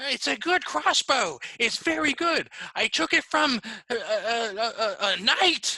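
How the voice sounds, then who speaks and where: A put-on character voice with a fairly high pitch moves at a fairly slow pace. Its pitch swings are very wide. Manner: shifty, stammering sales pitch.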